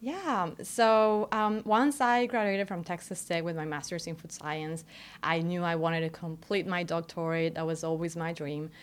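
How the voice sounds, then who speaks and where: In a Spanish accent, a woman speaks at a moderate pace with a fairly low pitch. Her pitch varies in an ordinary way, and the recording is very clean with a silent background. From Mexico, Querétaro. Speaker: doctoral student. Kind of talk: interview. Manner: hesitant, many fillers.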